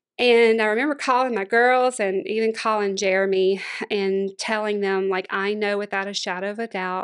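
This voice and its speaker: A woman speaks at a moderate pace in a Louisiana accent, her medium pitch held to fairly even intonation over a quiet background. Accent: Southern US (Louisiana). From Louisiana, Monroe. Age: 40s. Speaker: former pastor's wife and church planter. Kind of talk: interview testimony.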